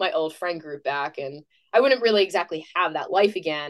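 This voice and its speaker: A woman with an American accent, fairly quick pace and lively intonation. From northern New Hampshire, US. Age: young. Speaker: STEM content creator. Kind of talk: interview. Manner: casual, conversational.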